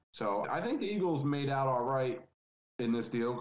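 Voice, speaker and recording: This is a normal speaking voice. A man talks at a moderate pace and medium pitch. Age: 20s. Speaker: football podcast guest. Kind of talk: casual chat.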